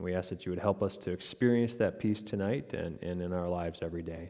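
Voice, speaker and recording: A man speaks at a very fast pace with a very deep, low pitch and fairly even intonation. His tone is dark and mellow against a quiet background. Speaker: pastor leading worship. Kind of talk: liturgical prayer. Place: church.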